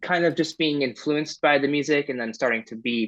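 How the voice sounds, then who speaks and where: With a dry, close sound and no echo, a man at a medium pitch uses a bright, sharp tone, ordinary pitch variation and a moderate pace. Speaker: musician. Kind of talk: interview. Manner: halting.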